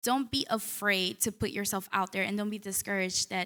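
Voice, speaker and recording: Her pitch medium, a woman speaks with a Spanish accent at a moderate pace. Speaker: newspaper reporter. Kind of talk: panel discussion.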